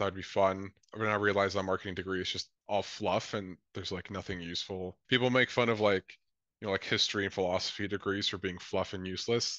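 A very fast man with a Canadian accent, fairly low-pitched, bright and sharp in tone, monotone and flat, with dry sound, no echo and a quiet background. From born in Colombia, raised mainly in Lethbridge, Alberta; Alberta, Canada. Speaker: socialist activist and former election candidate; interview guest. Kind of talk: interview. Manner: casual, many filler words. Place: home room. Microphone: video call.

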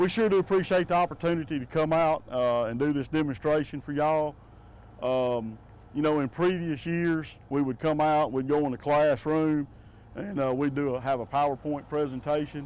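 A man at a moderate pace with ordinary pitch variation, in a dry sound with no echo. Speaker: utility safety instructor. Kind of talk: safety briefing to a group. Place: open country. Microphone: lapel.

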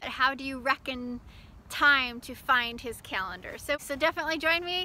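A woman's raised, projected voice, high-pitched, bright and sharp, with ordinary pitch variation, a dry sound with no echo and light background noise. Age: 40s. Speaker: ministry leader and online show host; ministry host. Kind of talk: casual video invitation. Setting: outdoors by a lake. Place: beach. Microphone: phone near.

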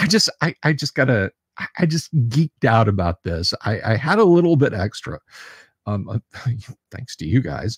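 Over a quiet background, a man speaks fairly slowly with very wide pitch swings, and the sound is dry with no echo. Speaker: live stream host. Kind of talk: casual live stream chat. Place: home room. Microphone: studio mic.

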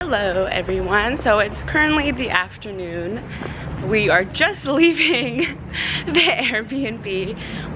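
A woman speaks over noticeable background noise. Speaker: travel vlogger. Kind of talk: casual vlog chat. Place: street. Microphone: phone near.

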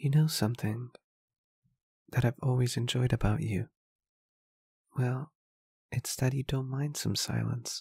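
Soft-spoken and somewhat breathy, a man speaks at medium pitch with a gentle tone, monotone, flat intonation and a fairly slow pace, in a dry, close sound with no echo. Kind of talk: ASMR roleplay. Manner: gentle, comforting.

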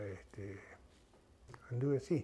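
A man with a Rioplatense accent talks at a fairly slow pace with ordinary pitch variation. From Argentina, Buenos Aires. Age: 60s. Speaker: terror attack survivor, electrician. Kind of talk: testimony; interview answer. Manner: halting. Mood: reflective, recalling a trauma. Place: home room. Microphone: lapel.

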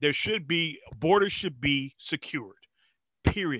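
A man speaks at a fairly slow pace. His fairly high voice moves with lively intonation. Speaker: podcast co-host. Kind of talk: casual chat. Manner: animated.

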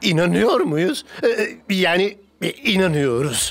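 A woman's cartoonish character voice, fairly low in pitch with a slightly husky edge, big pitch swings and a fairly slow pace, over faint music in the background

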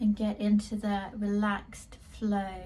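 A woman's voice over light background noise. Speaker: art teacher, wellbeing coach. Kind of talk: guided meditation. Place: home room. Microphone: phone near.

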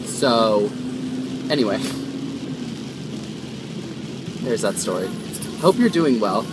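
Music plays behind a man talking at a moderate pace. His voice sounds dry, with no echo. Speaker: vlogger driving. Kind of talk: casual vlog chat. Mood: cheerful, relaxed. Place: car. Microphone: phone near.

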